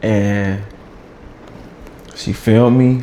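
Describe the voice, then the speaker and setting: There is audible room echo and noticeable background noise. Through it, a man speaks in a fairly low voice. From US South, Atlanta. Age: 30s. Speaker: content creator. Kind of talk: casual interview.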